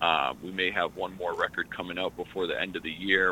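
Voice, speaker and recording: This is a man speaking. His voice is very deep and low. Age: 30s. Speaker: hip hop artist. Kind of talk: radio interview. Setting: phone call.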